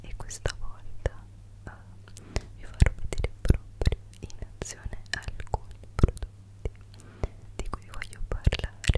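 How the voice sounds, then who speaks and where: Whispering, a woman lets her words come out very slowly. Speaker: beauty vlogger. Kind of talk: casual vlog chat. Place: home room.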